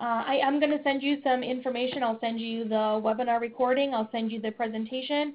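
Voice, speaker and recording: At a fairly quick pace with hardly any pauses, a woman speaks at a high pitch in a monotone, flat intonation. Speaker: webinar presenter, community health consultant. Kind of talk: webinar presentation. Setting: online webinar. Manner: fast; many fillers (um, uh, you know).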